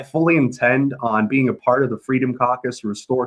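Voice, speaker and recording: A man with an American accent uses a normal speaking voice at a medium pitch. He goes at a fairly quick pace with fairly even intonation. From US South. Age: 20s. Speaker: congressional candidate. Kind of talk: interview.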